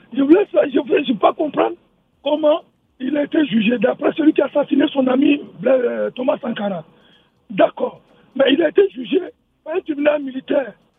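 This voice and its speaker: A man speaks at an extremely high pitch with ordinary pitch variation. He leaves long, frequent pauses. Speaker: radio call-in listener. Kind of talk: call-in radio comment. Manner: halting.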